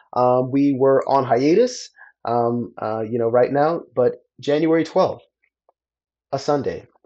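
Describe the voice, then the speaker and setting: A man with a fairly high pitch speaks very slowly in a dark, mellow tone, with ordinary pitch variation. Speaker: community organizer podcast host. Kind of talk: solo livestream reflection. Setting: Facebook live stream. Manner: halting, many fillers.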